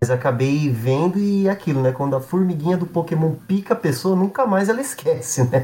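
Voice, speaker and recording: This man's voice sits high, with lively intonation and very even loudness. He speaks with hardly any pauses. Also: fairly quick pace. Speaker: games writer. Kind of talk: casual chat.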